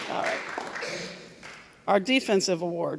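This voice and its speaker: Noticeable background noise behind a woman talking. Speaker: volleyball coach. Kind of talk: awards speech. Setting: school assembly. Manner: soft-spoken.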